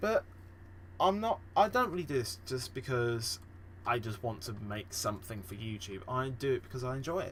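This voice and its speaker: A man with a British accent, somewhat breathy, with very wide pitch swings and long, frequent pauses. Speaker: gaming podcast host. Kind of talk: casual solo podcast. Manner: halting, many fillers.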